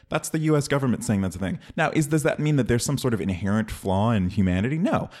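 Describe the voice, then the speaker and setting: Speaking very fast in an American accent, the voice swings very widely in pitch while holding a very even loudness. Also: man, medium pitch for a man. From Oakland, California. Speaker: entertainment industry worker. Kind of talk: heated debate.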